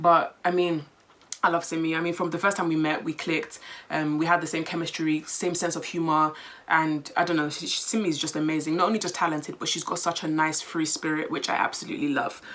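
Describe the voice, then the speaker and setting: A very fast, monotone woman's voice with flat intonation, fairly low pitch and an English accent, amid noticeable background noise. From England, London. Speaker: content creator, vlogger. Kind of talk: casual Q&A vlog.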